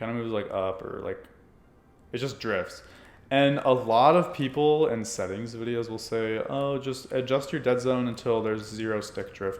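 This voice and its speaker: A man speaks at a moderate pace. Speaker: gaming YouTuber. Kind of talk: tutorial. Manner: casual, filler-heavy.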